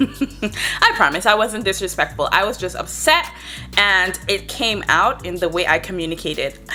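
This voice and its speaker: Music plays in the background as a woman with an Antiguan accent speaks in an animated tone at a moderate pace. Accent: Antiguan Caribbean English. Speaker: travel vlogger. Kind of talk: story time vlog.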